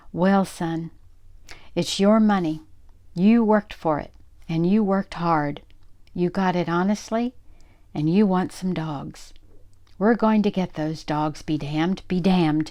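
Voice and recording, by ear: In a put-on character voice, a female-sounding speaker with a middle pitch talks shakily at a fairly slow pace with long, frequent pauses, on a very clean recording with a silent background.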